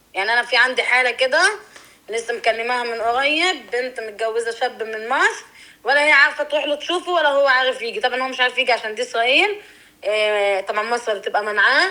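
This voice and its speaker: A woman talks at a fairly quick pace with lively intonation. Her high pitch carries a bright, sharp tone. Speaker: interviewee. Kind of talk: interview.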